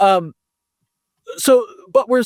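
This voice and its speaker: A man with an American accent, in a dry, close sound with no echo. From United States. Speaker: foundation director in blockchain governance and education. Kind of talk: podcast interview. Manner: halting, many fillers and restarts.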